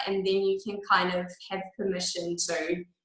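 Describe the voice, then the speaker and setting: A woman with an Australian accent speaks in a medium pitch. Room echo is audible. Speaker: product trainer. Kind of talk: training talk.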